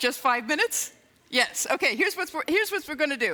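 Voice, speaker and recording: A woman talks at a very fast pace and a high pitch. Her voice is raised and projected. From England. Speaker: improv consultant and comedy teacher. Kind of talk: keynote talk on stage. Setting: stage with PA system. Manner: upbeat, humorous.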